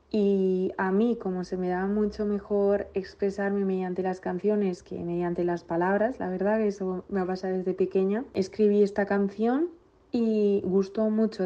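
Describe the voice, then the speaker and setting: A woman speaks in a plain, everyday voice at a moderate pace. Her pitch is medium and her intonation fairly even. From Basque Country, Villabona. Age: 20s. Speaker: singer. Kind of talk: recorded self-introduction.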